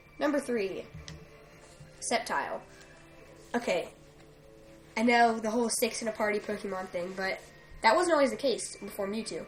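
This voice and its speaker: With music playing behind her, a woman speaks at a moderate pace with lively intonation, a fairly high pitch and long, frequent pauses. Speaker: gaming YouTuber. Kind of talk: top 10 list commentary. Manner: stuttering, halting; casual with many fillers.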